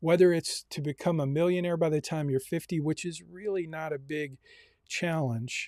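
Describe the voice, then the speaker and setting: A normal speaking voice with ordinary pitch variation, recorded dry and close with no echo. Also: man. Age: 60s. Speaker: university personal finance instructor. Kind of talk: online class lecture. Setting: Zoom meeting live streamed.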